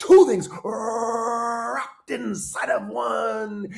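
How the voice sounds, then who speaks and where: A man speaks at a very slow pace in a put-on character voice, pitched high. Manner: over-the-top dramatic.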